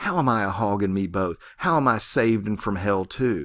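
A man uses a put-on character voice at a fairly low pitch. He talks at a moderate pace. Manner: fierce, angry.

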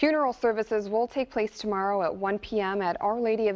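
A woman speaks with an American accent at a medium pitch and a fairly quick pace. Her pitch varies in an ordinary way. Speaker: TV news anchor and reporter. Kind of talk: studio news anchor delivery. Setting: TV studio and on location. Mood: serious, somber news tone. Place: studio.

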